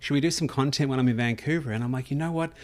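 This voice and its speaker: Very fast speech from a man at medium pitch. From outside Canada. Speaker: podcast host. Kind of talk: casual interview.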